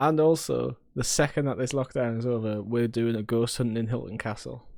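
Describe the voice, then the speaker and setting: His pitch sits at a medium level and his intonation is fairly even. This man talks at a fairly quick pace. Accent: Sunderland. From northern England, Sunderland. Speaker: podcast co-host. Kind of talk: casual chat.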